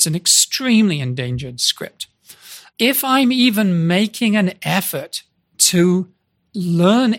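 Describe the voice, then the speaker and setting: In a very clean recording with a silent background, a man talks at a fairly slow pace with very wide pitch swings. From Britain. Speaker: writer and founder of a script preservation project. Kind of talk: interview.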